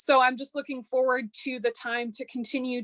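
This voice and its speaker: A woman speaks at a moderate pace with an American accent. Her voice sits high in pitch. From Chicago area, US Midwest. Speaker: undergraduate research fellow. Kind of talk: academic presentation.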